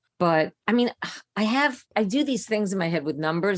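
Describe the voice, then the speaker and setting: A woman speaks at a moderate pace in a plain, everyday voice. Her intonation is lively, and the recording is very clean with a silent background. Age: 60s. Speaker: comedian. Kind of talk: casual chat.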